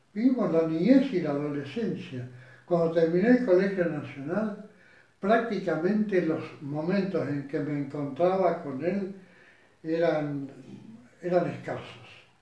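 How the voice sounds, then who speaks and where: The speech goes at a very slow pace with ordinary pitch variation and audible room echo. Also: man. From Argentina. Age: 80s+. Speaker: retired lawyer and judge. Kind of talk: interview. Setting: at home. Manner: halting.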